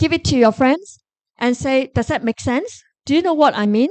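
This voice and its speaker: Moderate pace from a woman with a Korean accent, high pitch and ordinary pitch variation, in a dry, close sound with no echo. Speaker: professor. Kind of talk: Q&A answer at a lecture forum. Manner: animated.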